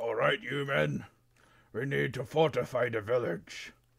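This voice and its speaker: A man's booming, raspy put-on character voice at a medium pitch, with very wide pitch swings and a moderate pace. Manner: commanding.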